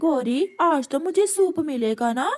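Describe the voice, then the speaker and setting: A cartoonish character voice, female-sounding and high in pitch for a woman. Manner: demanding.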